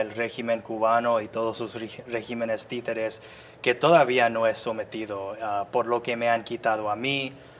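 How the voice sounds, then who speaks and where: In an English accent, a man speaks with monotone, flat intonation. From US suburbs. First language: English (speaking Spanish). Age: 30s. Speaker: activist. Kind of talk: interview. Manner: halting.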